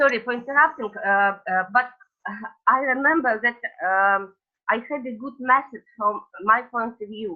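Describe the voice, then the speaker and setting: A woman with a Russian accent talks at a moderate pace and a high pitch, with ordinary pitch variation. Music plays behind her, her loudness swings widely, and she leaves long, frequent pauses. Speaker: coach, webinar participant. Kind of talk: casual sharing in webinar. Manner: halting, many fillers.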